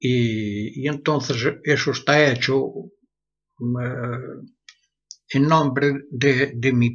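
A somewhat breathy man at a medium pitch with ordinary pitch variation. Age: 80s+. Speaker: blacksmith and metal artist. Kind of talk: interview. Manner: halting, repeats words.

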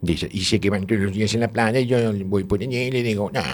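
Noticeable background noise behind a man's fairly low voice at a moderate pace. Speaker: radio show contributor. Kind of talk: comic casual chat. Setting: radio studio.

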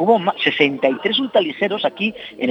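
Through noticeable background noise, a man's high-pitched voice moves in very wide pitch swings. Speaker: local councillor for motor activities. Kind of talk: interview. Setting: café, remote broadcast. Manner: talkative.

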